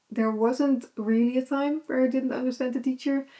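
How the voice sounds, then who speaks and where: A dark, mellow tone carries this voice, spoken with a Dutch accent. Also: woman. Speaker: vlogger. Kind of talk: casual chat. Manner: hesitant, many fillers.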